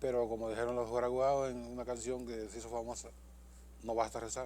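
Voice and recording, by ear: Speaking at a fairly quick pace, a man has a slightly mellow tone and little pitch movement. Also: medium pitch for a man.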